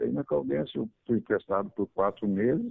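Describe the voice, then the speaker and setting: A man is speaking. His pace is moderate. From Araras, São Paulo state, Brazil. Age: 60s. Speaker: retired footballer. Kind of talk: radio interview.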